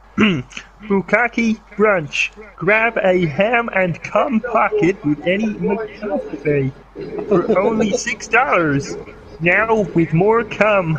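Using a put-on character voice, a high-pitched man speaks at a very slow pace.

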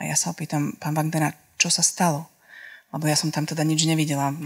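A woman speaks in a very deep, low voice. Her pace is fairly quick. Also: quiet background. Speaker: documentary filmmaker and author; guest, reporter. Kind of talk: public talk. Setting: live audience event. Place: hall. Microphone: handheld.

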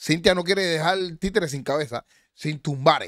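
Raising and projecting his voice, a man sounds animated, his tone bright and sharp, in a dry recording with no echo and a quiet background. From Cuba, Havana; Cuba. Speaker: online show host. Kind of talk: live stream chat and commentary. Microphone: studio mic.

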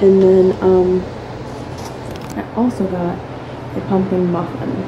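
With clear background noise behind her, a woman speaks at a fairly low pitch.

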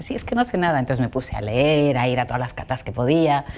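The speaker is a woman. Her pitch is very deep and low. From Andalusia, Seville and Jerez; Andalusia. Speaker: wine tourism entrepreneur; guest. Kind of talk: interview. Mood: warm, animated storytelling. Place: studio. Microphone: lapel.

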